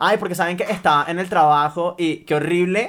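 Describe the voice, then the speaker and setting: A man's voice is captured very cleanly, with nothing audible behind it. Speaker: podcast co-host. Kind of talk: casual chat.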